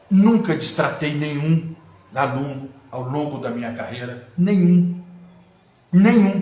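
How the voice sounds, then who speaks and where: Over noticeable background noise and audible room echo, a man with a fairly high pitch speaks very slowly with long, frequent pauses, lively intonation and big swings in loudness. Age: 60s. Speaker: lawyer and mayoral pre-candidate. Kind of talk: live stream monologue. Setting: Instagram live. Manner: formal.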